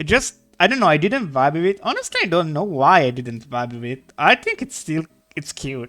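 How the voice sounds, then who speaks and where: A speaker with a non-native accent talks at a moderate pace. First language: not English. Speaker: artist streamer. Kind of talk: casual live-stream chat while drawing. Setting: live stream. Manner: halting, with many repeated words.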